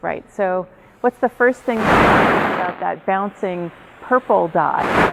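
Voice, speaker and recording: A woman speaks with an American accent and ordinary pitch variation. There is noticeable background noise. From New York City. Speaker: research psychologist. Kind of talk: professional development lecture. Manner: fast.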